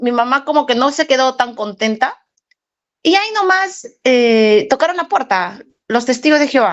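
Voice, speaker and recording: Her voice high and her intonation lively, a woman speaks. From Peru. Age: 40s. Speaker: former Jehovah's Witness. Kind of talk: testimony. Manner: halting.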